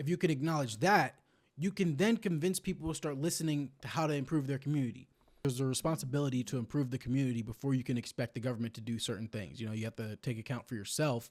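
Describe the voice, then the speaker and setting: In a very clean recording with a silent background, a man talks at a very fast pace. His medium-pitched voice shows ordinary pitch variation. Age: 20s. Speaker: reaction streamer. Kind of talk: video reaction commentary. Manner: casual.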